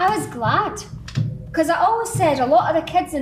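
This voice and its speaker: Someone with a Scottish accent speaks at a moderate pace. Music plays in the background, and room echo is audible. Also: woman. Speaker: local resident. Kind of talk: reminiscing interview.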